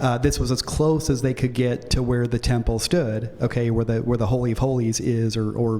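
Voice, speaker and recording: Noticeable background noise runs through the clip. The speaking pace is fairly quick. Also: man. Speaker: pastor. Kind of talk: lecture. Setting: church. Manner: fast; animated.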